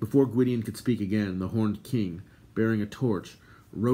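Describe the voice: The clip is plain reading aloud. Its pitch shifts in an ordinary way.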